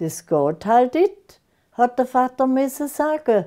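Over a quiet background, a woman with a Lake Constance accent speaks at a very slow pace, her high-pitched voice dark and mellow in tone. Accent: Lake Constance Alemannic German dialect. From Germany, Konstanz on Lake Constance; Germany. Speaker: dialect author; dialect poet. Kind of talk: dialect poetry reading.

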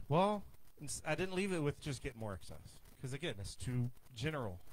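A man talks at a fairly quick pace in a somewhat breathy voice. His pitch swings very widely. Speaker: pastor. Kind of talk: sermon. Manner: casual conversational preaching. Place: church. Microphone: handheld.

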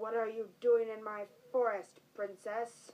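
This is a cartoonish character voice. It moves at a fairly slow pace with monotone, flat intonation. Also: woman, fairly high pitch for a woman. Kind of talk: children's story puppet play. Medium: puppet show. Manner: growling, menacing, roaring.

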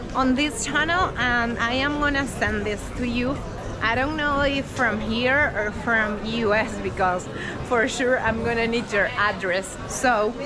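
Music plays in the background behind a woman. She speaks at a fairly slow pace with ordinary pitch variation. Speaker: travel vlogger. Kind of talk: casual vlog chat. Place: street. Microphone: phone near.

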